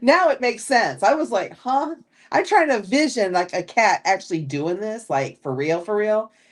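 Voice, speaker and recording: The delivery moves at a moderate pace. It comes in a Californian accent. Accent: Californian American. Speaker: livestreamer. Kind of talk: casual chat. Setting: live stream.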